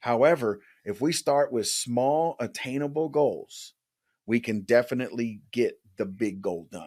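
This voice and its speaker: This man has a plain, everyday voice with an American accent, medium pitch and lively intonation, captured in a very clean recording with a silent background. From US West Coast, San Jose California. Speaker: life coach. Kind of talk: casual chat.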